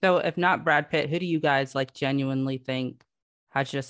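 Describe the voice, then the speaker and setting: A woman's very deep, low-pitched voice with an American accent, at a moderate pace with fairly even intonation, against a quiet background. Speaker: TikTok creator. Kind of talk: casual chat.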